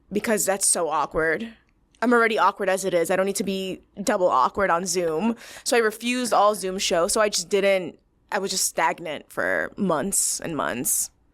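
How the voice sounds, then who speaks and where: A woman with a plain, everyday voice and an American accent speaks at a medium pitch and moderate pace on a very clean recording with a silent background. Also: ordinary pitch variation. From New Jersey. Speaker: comedian. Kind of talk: casual chat.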